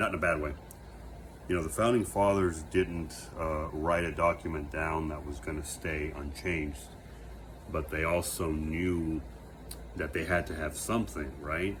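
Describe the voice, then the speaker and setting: With an American accent and a very deep, low pitch, a man speaks with ordinary pitch variation and long, frequent pauses while room echo is audible. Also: moderate pace. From United States. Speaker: vlogger. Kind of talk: reflective monologue. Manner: halting, many fillers and self-corrections.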